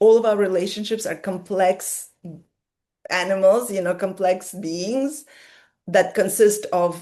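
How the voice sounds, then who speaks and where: Speaking in an American accent, a woman has an unremarkable speaking voice with ordinary pitch variation. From Soviet Union, then US from teens. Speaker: relationship coach. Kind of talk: live coaching Q&A.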